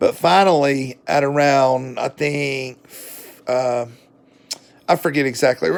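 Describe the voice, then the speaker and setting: A man speaks with a Southern US accent. His pitch is fairly high. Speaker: book reviewer. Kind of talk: casual book review monologue. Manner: casual, with fillers and hesitations.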